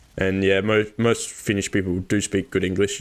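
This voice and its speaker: The speech comes very fast in an Australian accent, with monotone, flat intonation. The recording is very clean, with a silent background. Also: man. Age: 20s. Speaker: gaming YouTuber. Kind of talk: casual vlog talk.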